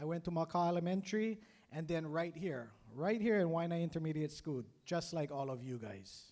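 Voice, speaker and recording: A man speaks in a Hawaiian accent at a high pitch. His tone is dark and mellow, with lively intonation. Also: fairly quick pace. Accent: Hawaii local English. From Hawaii, Oahu west side. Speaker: career day speaker, business owner, Navy veteran. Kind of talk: motivational speech. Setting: school assembly with PA system.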